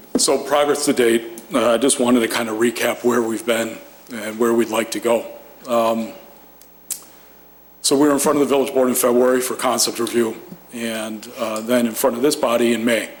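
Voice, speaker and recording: With noticeable background noise behind him, a man speaks at a moderate pace with a medium-pitched voice, monotone, flat intonation and long, frequent pauses. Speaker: developer representative presenting to planning commission. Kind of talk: formal presentation at public meeting. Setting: municipal commission meeting room.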